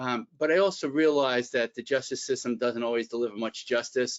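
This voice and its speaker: A man with a Bronx accent talks at a fairly quick pace, his medium pitch showing ordinary variation. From New York, the Bronx. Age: 60s. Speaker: employment attorney and executive coach. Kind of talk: webinar presentation. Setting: online webinar.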